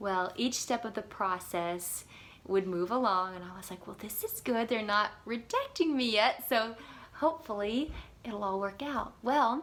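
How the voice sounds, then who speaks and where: A woman with an American accent speaks at a fairly slow pace in fairly high pitch, her loudness swinging widely and her pitch varying an ordinary amount, in an unremarkable speaking voice. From US South, South Carolina. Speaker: former theme park character performer. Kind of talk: personal story monologue.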